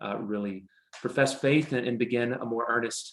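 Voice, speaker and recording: This man talks at a moderate pace with an American accent. His intonation is fairly even. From US South, New Orleans area. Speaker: pastor. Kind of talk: interview.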